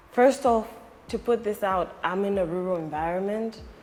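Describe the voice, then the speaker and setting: A woman talks at a fairly slow pace as noticeable background noise carries on around her. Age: 20s. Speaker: politician. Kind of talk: interview.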